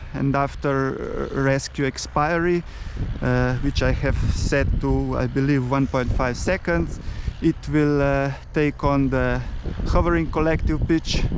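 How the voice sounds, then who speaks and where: A man speaks fairly slowly at a very even loudness over noticeable background noise. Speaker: RC helicopter hobbyist. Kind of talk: tutorial. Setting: outdoors at an airfield. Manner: hesitant, many fillers.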